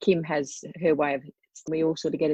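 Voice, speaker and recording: A woman speaks in a very deep, low register with fairly even intonation. The background is quiet. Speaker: coaching group participant. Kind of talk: testimony.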